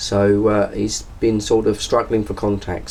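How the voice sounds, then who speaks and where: An English accent over noticeable background noise. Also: man. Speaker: CB radio operator. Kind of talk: CB radio chat.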